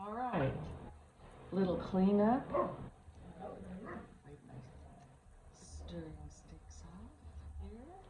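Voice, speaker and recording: Speaking at a very slow pace with long, frequent pauses and big swings in loudness, a woman is heard amid audible room echo and noticeable background noise. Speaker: resin crafting YouTuber. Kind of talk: casual crafting tutorial. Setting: at home with dogs and chickens. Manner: mumbling. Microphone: no microphone, camera mic.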